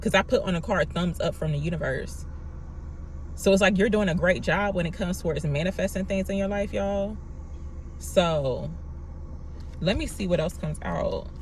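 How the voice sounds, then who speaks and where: The speech runs at a fairly quick pace yet has long, frequent pauses. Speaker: tarot reader. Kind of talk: tarot reading monologue. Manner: soft-spoken; quiet, not loud.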